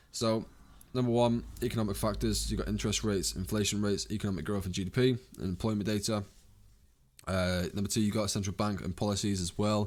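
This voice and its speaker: Very fast talk from a man at a fairly low pitch with fairly even intonation. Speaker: trading educator. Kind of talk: tutorial. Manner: casual, unscripted.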